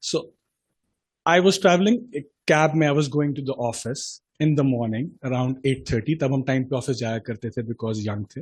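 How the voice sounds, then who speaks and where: A man with a Pakistani accent speaks at a medium pitch and a moderate pace. His voice is somewhat breathy, with ordinary pitch variation. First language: Urdu. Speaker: chartered accountant, committee chairman. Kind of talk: seminar talk with personal anecdote. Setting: stage with audience.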